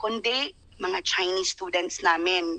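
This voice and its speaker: A woman's bright, sharp tone over a quiet background. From Philippines, Bohol (Tagbilaran); Philippines. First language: Cebuano (Bisaya) (speaking Tagalog). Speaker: overseas Filipino worker. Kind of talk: live online interview. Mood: earnest, recounting hardship. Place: home room. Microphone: video call.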